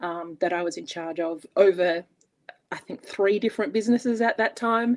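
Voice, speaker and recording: Speaking with an Australian accent, the voice moves at a moderate pace with ordinary pitch variation. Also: woman. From Australia, Adelaide. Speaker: business operations coach. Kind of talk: interview.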